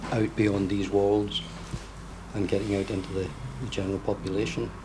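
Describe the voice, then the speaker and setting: A man speaks in a fairly low voice with a Scottish accent, his intonation flat and monotone. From west of Scotland. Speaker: event attendee. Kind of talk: personal testimony.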